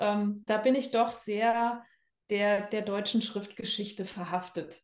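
A woman's medium-pitched, flat, monotone voice at a fairly slow pace. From Rhineland-Palatinate, Germany (Bad Kreuznach near Mainz). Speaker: art teacher and calligrapher. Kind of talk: interview conversation.

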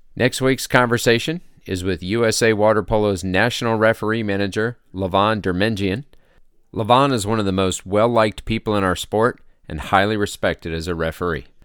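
In a very clean recording with a silent background, a man talks at a fairly quick pace. He has an unremarkable speaking voice, fairly low in pitch, with ordinary pitch variation. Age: 40s. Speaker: podcast host and referee. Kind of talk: scripted narration; casual chat. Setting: studio.

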